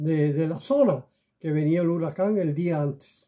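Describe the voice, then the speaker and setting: At a fairly slow pace, this voice carries a dark, mellow tone with ordinary pitch variation. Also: man. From Cuba. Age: 80s+. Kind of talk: interview answer.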